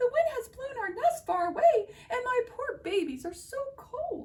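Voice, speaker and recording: A woman puts on a squeaky character voice at an extremely high pitch. She talks at a moderate pace. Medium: read story.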